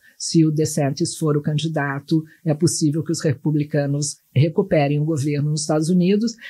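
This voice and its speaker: A woman speaks at a moderate pace with hardly any pauses, her pitch very deep and low. Her tone is dark and mellow, and somewhat breathy. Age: 60s. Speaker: journalist and pollster. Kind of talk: podcast interview. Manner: animated.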